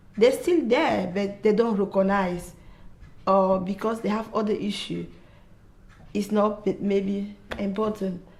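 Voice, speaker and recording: A somewhat breathy woman's voice at medium pitch, fairly slow and fairly even in intonation, broken by long, frequent pauses. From Africa. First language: not English. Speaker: mother sharing mental health experience. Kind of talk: testimony. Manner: halting.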